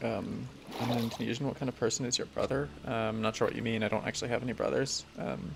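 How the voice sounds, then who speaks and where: This man talks at a very fast pace with an American accent. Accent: American, self-described as mumbling. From United States. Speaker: Minecraft streamer. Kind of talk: live stream commentary. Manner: hesitant with many fillers.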